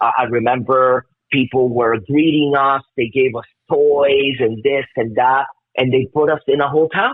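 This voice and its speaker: A man's medium-pitched voice, fairly slow in pace and fairly even in intonation. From Miami, Florida (immigrant child). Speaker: metal bassist. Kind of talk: casual interview chat. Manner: halting, many repetitions and fillers.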